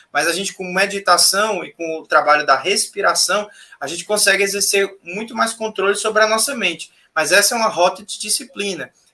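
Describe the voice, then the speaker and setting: The voice is raised and projected. Its loudness swings a lot. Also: man, high pitch for a man, ordinary pitch variation. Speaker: spiritual teacher. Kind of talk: casual chat. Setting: live stream.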